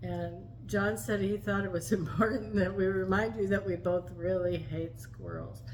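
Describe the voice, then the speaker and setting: A woman talks at a moderate pace with hardly any pauses. Noticeable background noise and audible room echo come through. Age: 70s. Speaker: vlogger. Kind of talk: casual chat.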